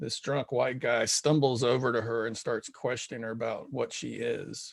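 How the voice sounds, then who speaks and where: Fairly even intonation and a moderate pace shape a normal speaking voice. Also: man. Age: 50s. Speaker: podcast host. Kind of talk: casual interview chat.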